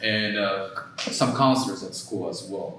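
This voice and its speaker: Amid noticeable background noise and audible room echo, a man with a Japanese accent speaks at a moderate pace. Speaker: mental health therapist. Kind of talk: workshop presentation. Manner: halting, many fillers.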